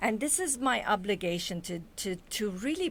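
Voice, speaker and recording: A woman with a non-native accent, medium pitch, lively intonation and a fairly slow pace. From Lebanon. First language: not English. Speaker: author and speaker. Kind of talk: interview.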